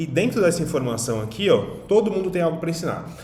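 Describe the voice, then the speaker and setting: With audible room echo behind him, a man talks at a very fast pace in a high pitch, his intonation lively. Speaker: online business coach. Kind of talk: online lesson.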